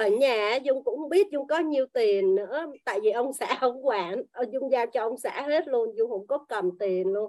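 A woman speaks at a high pitch in a dark, mellow tone. Her pace is fairly slow, with lively intonation and hardly any pauses. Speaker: class participant sharing. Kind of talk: personal sharing in online class.

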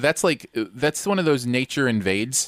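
With lively intonation and a moderate pace, a plain, everyday voice comes through on a very clean recording with a silent background and a dry, close sound with no echo. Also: man. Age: 40s. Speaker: podcast co-host. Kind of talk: casual chat.

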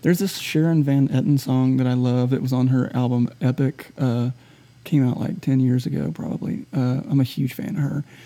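Medium pitch marks this man's voice. He talks in a Southern US accent. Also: ordinary pitch variation, moderate pace. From US South, Shreveport, Louisiana. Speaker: singer-songwriter. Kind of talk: casual interview chat. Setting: quiet front bar of a music venue. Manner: relaxed, halting with fillers.

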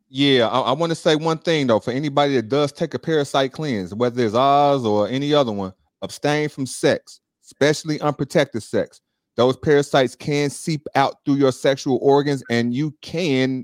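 A man with an American accent and a normal speaking voice, fairly high in pitch with ordinary pitch variation, at a moderate pace in a dry, close sound with no echo. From Chicago. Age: 40s. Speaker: real estate investor and juice bar owner. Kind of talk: casual chat. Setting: live online stream.

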